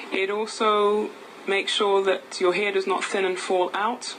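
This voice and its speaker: A woman with an English accent talks at a medium pitch against noticeable background noise. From England. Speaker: nutritionist and naturopath. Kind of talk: product talk.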